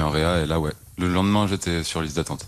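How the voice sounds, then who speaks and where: Very deep and low in pitch, a man talks at a moderate pace with fairly even intonation. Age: 20s. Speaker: heart transplant patient. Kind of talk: testimony. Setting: hospital bed. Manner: hesitant.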